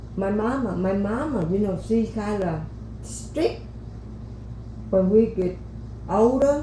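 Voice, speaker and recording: A woman with a Vietnamese accent at a very slow pace, long, frequent pauses, audible room echo and noticeable background noise. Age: old. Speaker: podcast guest, host's grandmother. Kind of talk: life story interview. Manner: halting.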